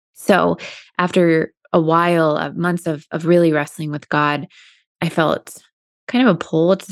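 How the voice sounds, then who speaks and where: A woman speaks in an ordinary speaking voice at a moderate pace, her pitch fairly low. The sound is dry and close, with no echo. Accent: American. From US Midwest, Indiana. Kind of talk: faith testimony in casual interview. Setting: video call.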